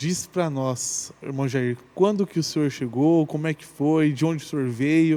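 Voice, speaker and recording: A man with an ordinary speaking voice speaks at a fairly slow pace and fairly high pitch, with hardly any pauses and ordinary pitch variation. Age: 30s. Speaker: podcast co-host. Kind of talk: casual chat.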